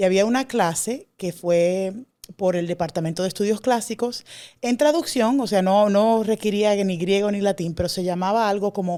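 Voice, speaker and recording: Over a silent background in a very clean recording, a woman with a medium pitch and a dark, mellow tone speaks at a moderate pace with ordinary pitch variation. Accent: Dominican. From Dominican Republic. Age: young. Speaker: classics scholar. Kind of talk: interview. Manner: hesitant, many fillers.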